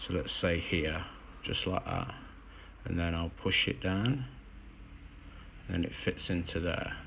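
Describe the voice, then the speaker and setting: Long, frequent pauses break up a man's fairly slow speech, his very deep, low pitch carrying ordinary pitch variation. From English Midlands, Derby. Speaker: miniature hobbyist streamer. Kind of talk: tutorial. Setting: Instagram live stream. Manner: casual, hesitant with fillers.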